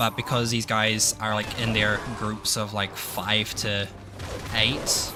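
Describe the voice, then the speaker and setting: A mumbling man with a fairly low voice, over noticeable background noise. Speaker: gaming streamer. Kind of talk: casual gameplay stream chat.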